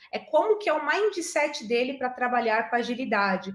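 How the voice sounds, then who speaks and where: A woman speaks in a high pitch at a moderate pace. Her tone is animated and her intonation lively. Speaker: agile and digital transformation specialist. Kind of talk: online talk answering audience questions. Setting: online video meeting.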